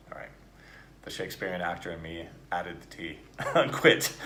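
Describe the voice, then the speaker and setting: A man with a General American accent at a moderate pace. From United States. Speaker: actor and accent coach. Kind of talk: accent coaching drill. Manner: casual, encouraging.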